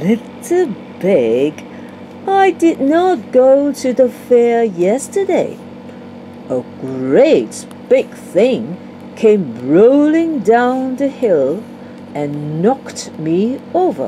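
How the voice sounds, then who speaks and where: At a very slow pace, a put-on character voice swings very widely in pitch, with long, frequent pauses and clear background noise. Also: female-sounding voice, high pitch for a woman. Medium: read story. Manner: sly, pretending friendliness.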